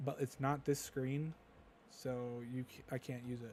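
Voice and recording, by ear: A man speaks at a moderate pace. His tone is slightly mellow.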